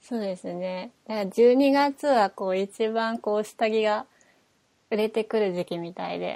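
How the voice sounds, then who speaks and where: A woman speaks at a fairly slow pace in a fairly high pitch with a dark, mellow tone and ordinary pitch variation. The recording is very clean, with a silent background. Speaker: podcast co-host. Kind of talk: casual chat.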